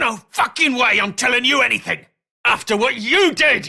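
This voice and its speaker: A put-on character voice with a growl, pitched fairly high. It moves at a moderate pace. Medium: video game. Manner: sneering, aggressive.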